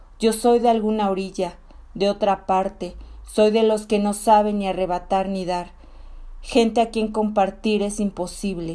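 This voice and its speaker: A woman speaks at a fairly slow pace in a dark, mellow tone with monotone, flat intonation. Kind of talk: poetry reading, feminist spoken word.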